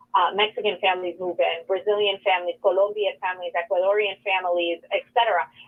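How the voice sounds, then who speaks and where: A woman speaks with a New York accent. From New York City, the Bronx and Queens. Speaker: nonprofit executive director. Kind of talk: interview. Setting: radio studio.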